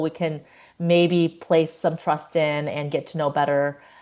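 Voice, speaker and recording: A woman's fairly low, monotone voice with an American accent, flat in intonation, at a fairly slow pace against a quiet background. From China, then United States. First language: Chinese. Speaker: psychologist. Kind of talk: podcast interview. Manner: hesitant, many fillers.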